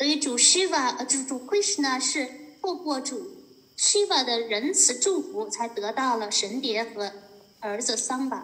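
With a Chinese accent, a high-pitched woman speaks at a moderate pace with very wide pitch swings, against noticeable background noise. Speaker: interpreter. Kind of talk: consecutive interpretation of a lecture. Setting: video call.

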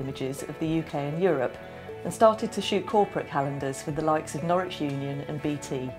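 With music in the background, a woman speaks fairly quickly in a very deep, low pitch, her intonation lively. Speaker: magazine editor. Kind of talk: documentary narration.

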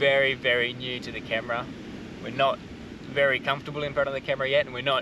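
Loud background noise surrounds a man whose recording sounds dry, with no echo. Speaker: family travel vlogger. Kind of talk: casual vlog chat. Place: beach. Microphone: camera far.

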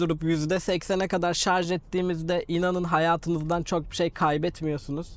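A man's high voice, fairly slow yet with hardly any pauses, monotone and flat in intonation and very even in loudness. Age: 30s. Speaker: YouTuber, car vlogger. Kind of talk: vlog tutorial. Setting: outdoors.

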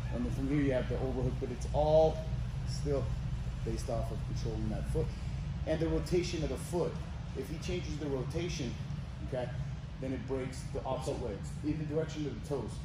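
Loud background noise and audible room echo surround a man speaking at a fairly quick pace. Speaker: jiu-jitsu instructor. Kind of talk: tutorial. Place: gym.

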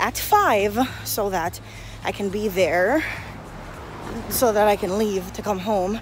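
Music plays in the background while a woman speaks, the sound dry with no echo. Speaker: vlogger. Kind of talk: casual vlog chat. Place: street. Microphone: phone near.

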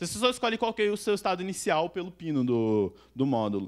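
Over a quiet background, a man talks. His pace is very fast. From Brazil, Sorocaba (São Paulo state); São Paulo state, Brazil. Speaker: software developer; conference speaker. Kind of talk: conference talk. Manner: casual slangy. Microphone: handheld.

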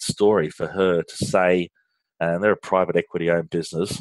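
A man with an Australian accent speaks at a moderate pace in a very deep, low pitch over a quiet background. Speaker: finance outsourcing business leader. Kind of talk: interview conversation. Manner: frequent hesitations and fillers.

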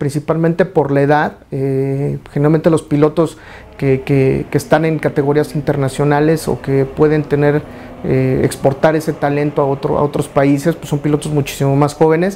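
At a moderate pace, a man speaks with a fairly high pitch over light background noise. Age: 40s. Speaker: racing driver. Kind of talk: interview. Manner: halting, with many fillers. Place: studio. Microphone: lapel.

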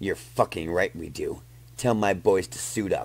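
Using a put-on character voice, a man speaks at a moderate pace with a fairly low pitch. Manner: vulgar, menacing, bullying; cold, commanding.

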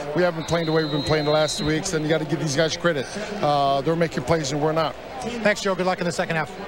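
A man speaks at a very fast pace with ordinary pitch variation. The sound is dry with no echo, though there is noticeable background noise. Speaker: sideline reporter. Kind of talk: interview. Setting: stadium sideline. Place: stadium.

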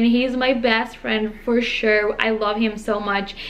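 A woman speaks with a Brazilian accent. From Brazil, interior of São Paulo state. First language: Portuguese. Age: 20s. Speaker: au pair. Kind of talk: casual talk to camera. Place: home room. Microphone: phone near.

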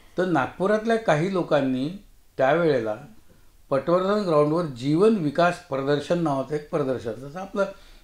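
A man with a fairly high pitch and lively intonation is heard with audible room echo over a quiet background. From Maharashtra, India. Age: 70s. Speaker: retired mathematics professor and writer; retired mathematics professor. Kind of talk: interview. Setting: studio. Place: studio.

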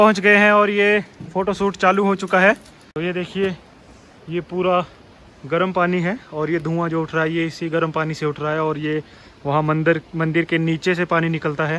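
With long, frequent pauses, the bright, sharp voice moves at a moderate pace with fairly even intonation and a dry sound with no echo. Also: man, high pitch for a man. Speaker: travel vlogger. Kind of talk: casual vlog chat. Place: open country. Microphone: phone near.

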